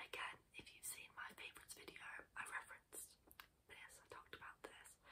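A whisper in a relaxed tone. The pace is moderate. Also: woman. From UK. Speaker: ASMR creator. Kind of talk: casual talk to camera, product demonstration. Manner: soft-spoken, relaxed, chatty, whispery. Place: home room. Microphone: earbuds.

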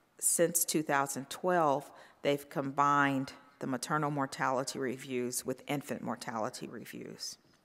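A woman speaks at a fairly slow pace with an American accent. Her pitch is very deep and low, and her intonation is fairly even. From North Carolina. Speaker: physician and professor. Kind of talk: conference talk. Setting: stage with audience. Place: stage. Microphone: podium.

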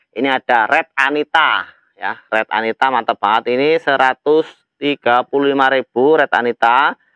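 At a very slow pace, a man speaks with a bright, sharp tone at medium pitch and ordinary pitch variation, recorded dry with no echo over a quiet background. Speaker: plant seller. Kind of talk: street-market style sales pitch, reeling off plant names and prices. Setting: video recorded at plant nursery. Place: garden. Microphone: phone near.

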